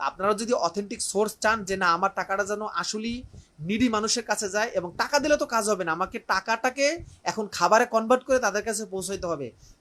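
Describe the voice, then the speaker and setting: A man speaks with a high pitch and a bright, sharp tone. His pitch varies in an ordinary way. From Barishal, Bangladesh. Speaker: teacher. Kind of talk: live appeal. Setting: room in his home, live stream.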